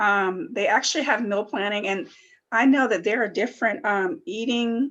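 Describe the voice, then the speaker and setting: A woman's normal speaking voice, fairly high in pitch, with lively intonation at a moderate pace. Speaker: student wellness presenter. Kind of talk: workshop presentation. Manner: many fillers (um, uh).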